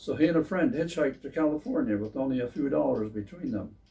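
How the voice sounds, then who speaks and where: A man with an American accent speaks fairly quickly in a somewhat breathy, dark, mellow tone. His pitch varies in an ordinary way. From Pennsylvania, USA. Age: 80s+. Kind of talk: reading his own memoir aloud.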